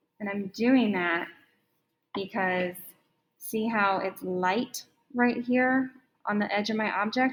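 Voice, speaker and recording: A woman's medium-pitched, unremarkable speaking voice with ordinary pitch variation. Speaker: art teacher. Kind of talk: tutorial.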